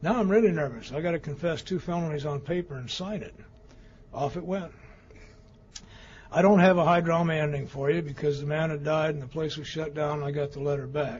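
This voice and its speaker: At a fairly quick pace, a man with a fairly high, somewhat breathy voice talks with ordinary pitch variation. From Colorado, Denver. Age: 70s. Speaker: recovery speaker. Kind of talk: testimony.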